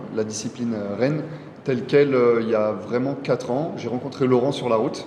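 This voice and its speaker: With a slight French Guianese accent, a man talks at a fairly quick pace and with ordinary pitch variation, with audible room echo and noticeable background noise. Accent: slight French Guianese touch. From Burgundy, France (Nevers). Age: 30s. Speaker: PE teacher and amateur cyclist. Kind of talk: interview.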